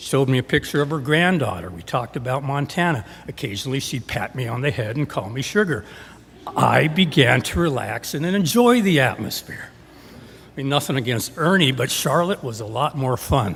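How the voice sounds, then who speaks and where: Here is a man with an unremarkable speaking voice, medium pitch and lively intonation. He keeps a moderate pace with big swings in loudness. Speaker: storyteller. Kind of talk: live storytelling performance. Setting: live stage.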